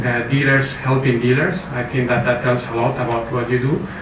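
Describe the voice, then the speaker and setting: A man with a Spanish accent speaks at a fairly quick pace in a monotone, flat delivery and a medium pitch, with noticeable background noise and audible room echo. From Spain. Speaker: company executive. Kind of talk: award acceptance speech. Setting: stage with audience at awards event. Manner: hesitant, many fillers.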